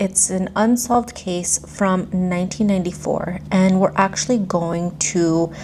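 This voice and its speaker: A woman with fairly low pitch speaks at a fairly slow pace. Noticeable background noise can be heard. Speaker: true crime YouTuber. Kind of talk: storytelling narration. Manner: monotone.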